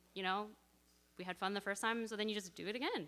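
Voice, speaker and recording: A loud woman with a bright, sharp tone, fairly even intonation and a Canadian accent. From Canada (Edmonton, Alberta). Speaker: church member sharing testimony. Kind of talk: casual church sharing.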